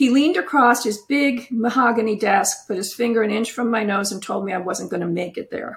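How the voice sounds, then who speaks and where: A woman speaks at a fairly quick pace in a somewhat breathy voice with ordinary pitch variation. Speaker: author and former nurse and family lawyer. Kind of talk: interview, casual conversation.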